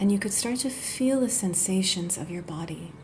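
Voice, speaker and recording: A soft-spoken voice with a gentle tone talks at a fairly slow pace. Some room echo is audible. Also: woman. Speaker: yoga therapist. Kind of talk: guided meditation. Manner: gentle, soft-spoken.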